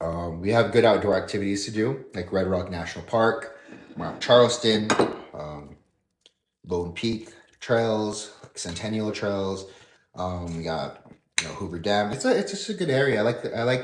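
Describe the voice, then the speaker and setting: A man speaks with fairly low pitch and big swings in loudness. Audible room echo surrounds his voice. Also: ordinary pitch variation, moderate pace. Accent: American. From northern Nevada, US. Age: 30s. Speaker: fitness model and livestreamer. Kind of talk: casual livestream chat. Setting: livestream at home. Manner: casual, hesitant with fillers and repeats.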